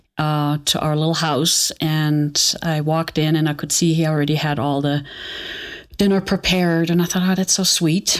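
In a German accent, a woman speaks at a very deep, low pitch with fairly even intonation. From Germany, Aachen. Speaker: botanical perfumer. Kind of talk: personal testimony interview.

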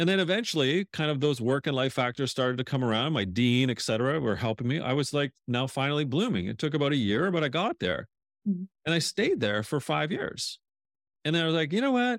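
An ordinary speaking voice from a man, fairly high in pitch, at a fairly quick pace with very even loudness. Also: lively intonation. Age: 50s. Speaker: author and leadership strategist. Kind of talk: interview conversation.

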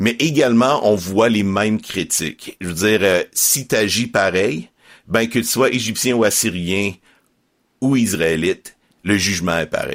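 This man has an unremarkable speaking voice. His pitch is fairly low, with ordinary variation. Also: fairly slow pace. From Quebec, Estrie. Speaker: Bible narrator and podcast co-producer. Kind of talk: interview.

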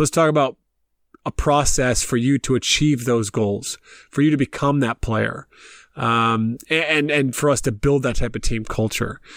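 A man with a normal speaking voice talks at a moderate pace in a medium pitch with ordinary pitch variation, the sound dry and close with no echo on a very clean recording with a silent background. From US South, Columbia, South Carolina. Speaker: basketball coach and coaching business founder. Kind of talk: casual interview.

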